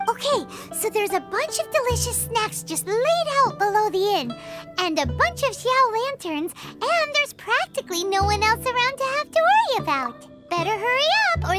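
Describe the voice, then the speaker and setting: A cartoonish character voice at an extremely high pitch and moderate pace, with clear music in the background. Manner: excitable, fast.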